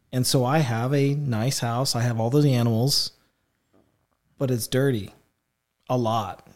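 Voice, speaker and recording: Long, frequent pauses break up a man's speech, delivered at a medium pitch with fairly even intonation. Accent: American. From Illinois, Effingham area. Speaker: church member sharing testimony. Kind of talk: testimony. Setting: studio.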